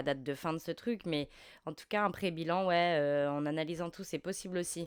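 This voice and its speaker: The recording is very clean, with a silent background. A woman speaks at a moderate pace and fairly low pitch, with ordinary pitch variation. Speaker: tarot reader. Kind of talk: tarot reading. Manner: halting, many fillers.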